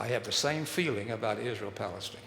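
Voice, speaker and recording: With a Texan accent, a man speaks at a moderate pace with lively intonation. Audible room echo and noticeable background noise are present. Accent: Texan American English. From Texas. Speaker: speaker on human development. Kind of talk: public talk.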